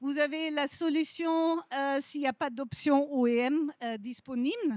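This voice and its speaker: A woman's high-pitched voice with a non-native accent and ordinary pitch variation, at a very slow pace, in a dry, close sound with no echo. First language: not French (speaking French). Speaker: industry representative, lighting company. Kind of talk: conference presentation.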